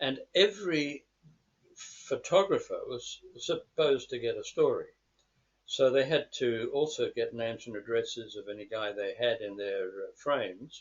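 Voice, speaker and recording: A man talks with an Australian accent. His loudness swings widely. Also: moderate pace. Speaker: former war correspondent. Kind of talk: interview. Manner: halting, many repeats and fillers.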